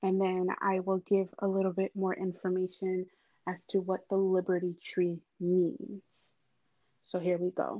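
Speaking in a Haitian accent, a woman talks at a medium pitch and a fairly slow pace, her loudness very even and her intonation monotone and flat. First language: Haitian Creole. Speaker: creative. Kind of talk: personal storytelling.

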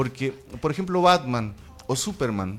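A man's medium-pitched voice proceeds at a moderate pace. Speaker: activist and city councillor. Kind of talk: radio interview. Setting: radio studio. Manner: hesitant, repeats words.

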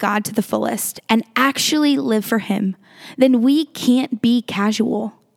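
Using an ordinary speaking voice, a woman with a fairly high pitch talks at a fairly slow pace with lively intonation, the sound dry and close with no echo. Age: 20s. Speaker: podcast host teaching the Bible. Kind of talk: Bible teaching talk. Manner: casual, conversational.

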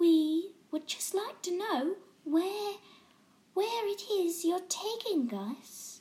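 A woman's put-on character voice at an extremely high pitch, very slow, with long, frequent pauses. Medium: read story. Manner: timid, hesitant.

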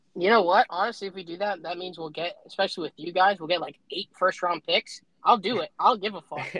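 A man's raised, projected voice, high in pitch, at a very fast pace with hardly any pauses and big swings in loudness. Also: dry, close sound with no echo. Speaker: podcast co-host. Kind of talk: casual chat. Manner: animated, profane and laughing.

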